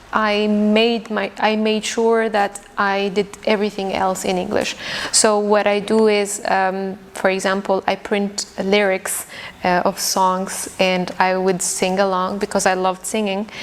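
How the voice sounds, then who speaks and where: Against noticeable background noise, a woman speaks fairly slowly at a medium pitch. Her intonation stays flat and monotone. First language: Arabic. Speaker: English teacher. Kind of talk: podcast interview.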